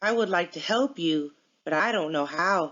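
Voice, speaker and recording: A woman uses a put-on character voice at a fairly low pitch. She keeps a moderate pace. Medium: read story.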